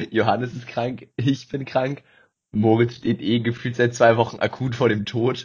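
Somewhat breathy and medium in pitch, a man speaks fairly slowly in a monotone, flat way. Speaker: podcast co-host, university student. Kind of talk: casual chat.

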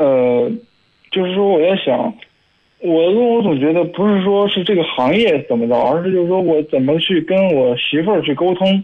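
Delivered at a moderate pace, the speech carries lively intonation. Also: man. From Hebei, Shijiazhuang. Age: 20s. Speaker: caller. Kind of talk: phone-in conversation. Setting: phone call.

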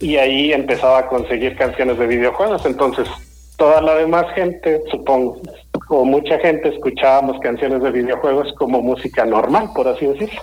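A man speaks at a fairly quick pace in a fairly high pitch, with ordinary pitch variation. His loudness stays very even, and there is noticeable background noise. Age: 40s. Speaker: podcast host. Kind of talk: radio interview.

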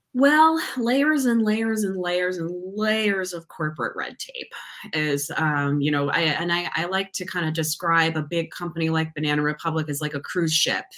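Using a normal speaking voice, a woman with an American accent and fairly low pitch speaks at a moderate pace with lively intonation. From Massachusetts, near Boston. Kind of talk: casual interview.

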